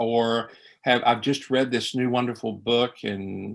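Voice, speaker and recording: This is a man's voice at a medium pitch. He keeps a moderate pace. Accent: Appalachian. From East Tennessee Appalachia, Carter County. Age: 60s. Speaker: priest. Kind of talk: conversational interview. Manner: animated; halting with fillers.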